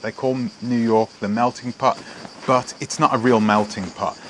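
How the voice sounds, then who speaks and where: There is noticeable background noise as a man speaks with a British accent. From England (British Jamaican). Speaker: vlogger. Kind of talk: casual vlog monologue. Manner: halting, many fillers and restarts.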